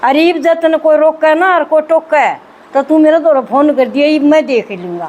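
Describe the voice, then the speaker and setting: Over noticeable background noise, a woman speaks in a high voice with a Haryanvi accent. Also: ordinary pitch variation. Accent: Haryanvi Hindi. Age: 60s. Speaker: spiritual group member sharing experience. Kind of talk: testimony. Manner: animated.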